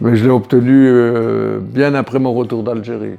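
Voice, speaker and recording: Music plays in the background as a man speaks at a very slow pace. His voice sits at medium pitch with fairly even intonation. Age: 80s+. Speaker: war veteran. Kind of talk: testimony. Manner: halting.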